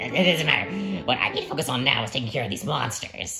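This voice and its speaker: A raspy, put-on character voice rattles along at a very fast pace with a low-to-middle pitch. Music plays clearly in the background. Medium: solo performance. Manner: chatty, excitable.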